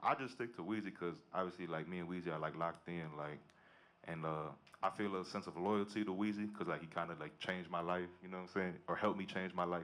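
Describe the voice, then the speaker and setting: A very fast male voice pitched very deep and low, its intonation mostly level. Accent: American. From Chicago, US. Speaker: music producer. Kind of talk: audience Q&A at a live event. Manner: casual, slangy.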